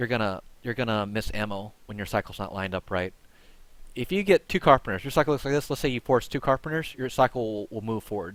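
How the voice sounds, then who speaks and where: A man talks at a very fast pace, his medium pitch moving with ordinary variation. The recording is very clean, with a silent background. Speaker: gaming streamer. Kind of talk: tutorial. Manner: halting, repeats words.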